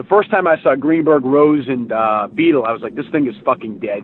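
At a fairly quick pace, a man talks with a medium pitch.

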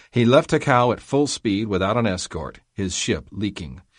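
Over a quiet background, a man with an unremarkable speaking voice talks at a moderate pace with lively intonation. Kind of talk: audiobook reading of a history memoir, history documentary narration. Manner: steady, measured, formal.

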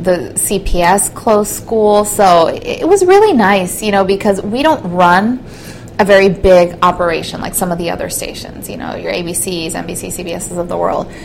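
Amid noticeable background noise, a woman with an American accent talks at a moderate pace. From Southern California, partly Mexico. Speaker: TV news reporter. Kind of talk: interview.

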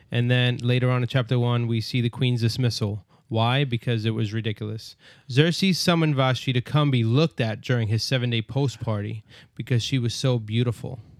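On a very clean recording with a silent background, a man with an American accent talks in an unremarkable speaking voice at medium pitch and a fairly quick pace, with fairly even intonation. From New York, Brooklyn. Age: 30s. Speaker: bible study podcast host. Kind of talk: casual bible study discussion.

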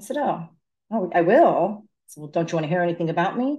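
Using an ordinary speaking voice, a woman with an American accent talks fairly quickly at a fairly low pitch. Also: quiet background. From Fairfield County, Connecticut. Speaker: city council candidate. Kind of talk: interview.

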